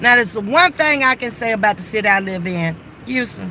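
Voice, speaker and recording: Over noticeable background noise, the speaker sounds animated, with lively intonation. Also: woman. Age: 60s. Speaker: livestreamer. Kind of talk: casual chat. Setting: sitting in car by the roadside.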